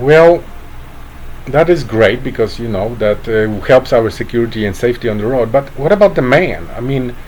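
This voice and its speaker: Amid noticeable background noise, a man with a Polish accent talks at a moderate pace, medium pitch and lively intonation. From Poland. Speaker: online commentator. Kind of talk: satirical monologue. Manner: halting, many fillers.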